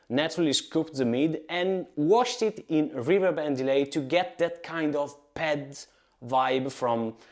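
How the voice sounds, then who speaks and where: In an Italian accent, a man speaks with a fairly high pitch and lively intonation. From Italy. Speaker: guitarist and YouTuber. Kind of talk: tutorial. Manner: casual, with filler words.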